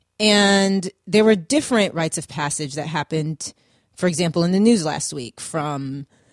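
Her voice is an unremarkable speaking voice, fairly low for a woman with ordinary pitch variation, recorded dry and close with no echo. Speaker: radio show host. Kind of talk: casual talk radio monologue on self-improvement. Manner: friendly, conversational.

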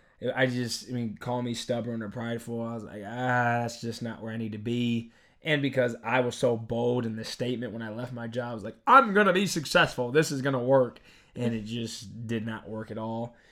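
A man speaks at a fairly quick pace with a medium pitch and a bright, sharp tone, his intonation fairly even. His loudness swings widely, and the recording is very clean with a silent background. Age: 20s. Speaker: podcast co-host. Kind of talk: casual chat.

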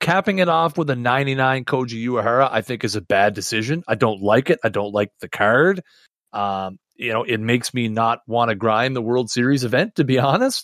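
In a normal speaking voice, a man talks at a moderate pace and medium pitch with lively intonation, and the recording is very clean with a silent background and a dry, close sound with no echo. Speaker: podcast co-host, gamer and streamer. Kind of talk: casual chat podcast about a video game.

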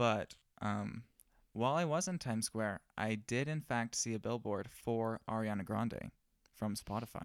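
A man with a normal speaking voice and medium pitch shows ordinary pitch variation in a dry, close sound with no echo. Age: young. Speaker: wedding photographer and podcast co-host. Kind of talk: casual chat. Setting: studio.

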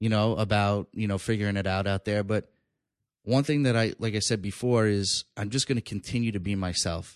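A man talks at a fairly quick pace with a fairly low pitch. The background is quiet and the sound is dry and close, with no echo. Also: fairly even intonation. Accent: New York. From New York, Long Island. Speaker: stand-up comedian. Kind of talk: casual chat. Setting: studio.

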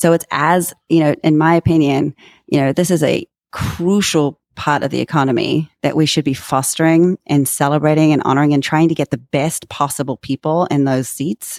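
A woman with a very deep, low pitch and fairly even intonation speaks at a moderate pace, the sound dry and close with no echo on a very clean recording with a silent background. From Germany. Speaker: education thought leader and CEO. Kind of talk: interview.

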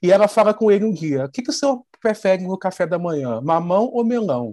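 With a dark, mellow tone, a man speaks at a fairly quick pace and with lively intonation. The sound is dry and close with no echo, the background quiet. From Brazil, Petrópolis (Rio de Janeiro state). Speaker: TV screenwriter. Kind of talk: interview.

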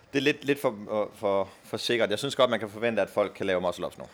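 A man of medium pitch speaks with lively intonation. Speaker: athlete. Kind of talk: casual interview.

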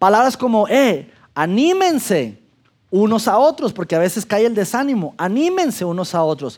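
A man's high-pitched voice with very wide pitch swings at a moderate pace, in a very clean recording over a silent background. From Mexico, Durango. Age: 40s. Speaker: pastor. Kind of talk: sermon.

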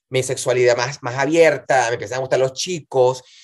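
At a moderate pace, a man with a medium pitch and ordinary pitch variation talks in an unremarkable speaking voice. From Venezuela, Valencia region (Montalbán). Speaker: singer and cabaret performer. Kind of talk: casual interview.

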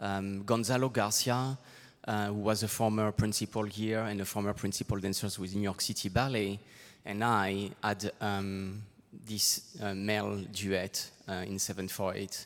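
In a very clean recording with a silent background, a man with a French accent speaks at a fairly slow pace in a fairly low, monotone, flat voice. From southwest France. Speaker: choreographer. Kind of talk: onstage interview. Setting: stage with audience. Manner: halting.

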